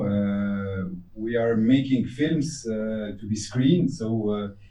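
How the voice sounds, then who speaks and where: Audible room echo surrounds a man speaking at a medium pitch and fairly slow pace with ordinary pitch variation. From Tunisia. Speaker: film director. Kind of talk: Q&A interview. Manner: halting.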